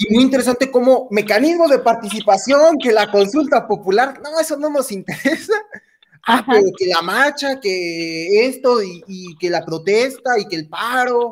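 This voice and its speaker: The speaker is a man with an extremely high pitch. His intonation is lively. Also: fairly slow pace. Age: 20s. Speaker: podcast host. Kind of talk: interview conversation.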